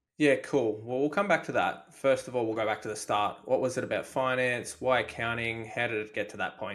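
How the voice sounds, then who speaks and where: A man with an Australian accent at medium pitch, ordinary pitch variation and hardly any pauses. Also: fairly quick pace. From Australia, Melbourne. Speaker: podcast host. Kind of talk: podcast interview.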